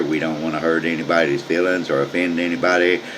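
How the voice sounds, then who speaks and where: Noticeable background noise sits behind a man speaking at a moderate pace. His very deep, low voice stays monotone and flat. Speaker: amateur news show host. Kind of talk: casual comedic news commentary. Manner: casual, halting with repetitions.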